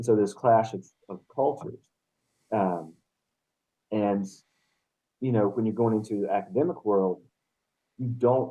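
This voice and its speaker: A man with a dark, mellow tone and medium pitch speaks at a moderate pace, his pitch varying in an ordinary way, with long, frequent pauses. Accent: Appalachian. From Western North Carolina, Appalachia. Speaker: poet, professor and game designer. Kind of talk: casual interview chat.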